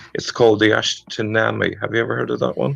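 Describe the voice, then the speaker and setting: Dry and close with no echo, the recording has a man speaking at a moderate pace with an Irish accent. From Ireland. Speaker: caller. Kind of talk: debate. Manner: halting.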